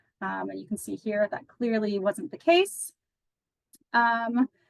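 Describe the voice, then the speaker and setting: This woman has a fairly high, somewhat breathy voice. The sound is dry and close with no echo. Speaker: institutional research analyst presenting a dashboard. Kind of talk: software demo presentation. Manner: fast; casual with many fillers.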